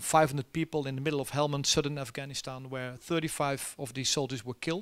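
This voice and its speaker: The speaker has a Dutch accent and fairly even intonation. The background is quiet. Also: man. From Netherlands. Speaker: army general; keynote guest. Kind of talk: keynote talk and Q&A. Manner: halting with many fillers. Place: stage. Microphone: handheld.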